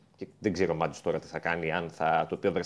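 Here a man talks at a very fast pace. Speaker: football reporter. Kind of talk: sports report by phone.

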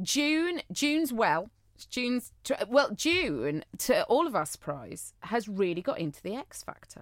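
Her pitch fairly high and swinging very widely, a woman talks at a fairly slow pace with vocal fry. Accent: Cheshire. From Cheshire, northern England. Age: 30s. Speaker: podcast co-host. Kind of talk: casual chat. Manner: animated.

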